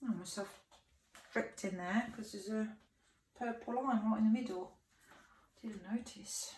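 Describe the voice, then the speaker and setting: Vocal fry runs through a woman's medium-pitched voice as she talks at a moderate pace with fairly even intonation. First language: French. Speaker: fluid artist. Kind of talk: tutorial.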